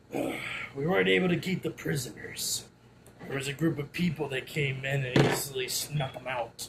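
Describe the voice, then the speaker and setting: Using a put-on character voice, a man speaks with a raspy, fairly high pitch at a moderate pace and ordinary pitch variation. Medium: actual play. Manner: deferential, hesitant.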